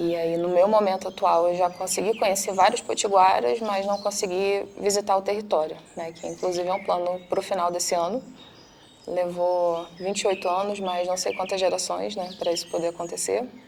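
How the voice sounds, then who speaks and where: A woman with an unremarkable speaking voice talks at a medium pitch and a moderate pace, her intonation fairly even. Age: 20s. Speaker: psychologist. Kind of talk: testimony.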